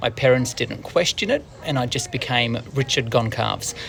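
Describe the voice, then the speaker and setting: A man with an Australian accent and a medium pitch, over noticeable background noise. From Australia, Wollongong, New South Wales. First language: Portuguese. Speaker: news presenter. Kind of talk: scripted narration.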